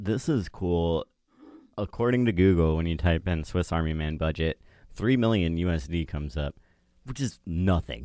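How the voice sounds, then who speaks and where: A man speaks with a very deep, low pitch and a dark, mellow tone, his intonation lively at a moderate pace. The recording is very clean with a silent background and a dry, close sound with no echo. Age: 20s. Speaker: podcast host and producer. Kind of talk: casual chat.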